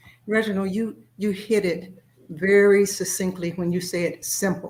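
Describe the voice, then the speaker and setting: A woman speaks in a flat monotone, somewhat breathy, at a fairly slow pace. Her loudness swings widely. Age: 60s. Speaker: author and former school principal. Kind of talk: interview. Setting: video call.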